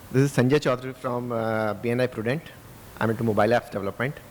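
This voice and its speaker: A man with an Indian accent talks at a very fast clip in a medium pitch. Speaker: audience member, app developer. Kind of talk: audience question. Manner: halting.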